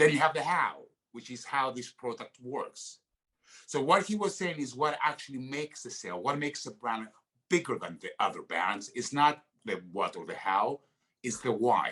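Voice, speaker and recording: At a moderate pace, a man with a Greek accent speaks in a fairly high, bright, sharp voice with vocal fry, very wide pitch swings and big swings in loudness. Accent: Greek accent, noticeable. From Greece. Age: 50s. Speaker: actor. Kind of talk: podcast interview. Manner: halting, many fillers.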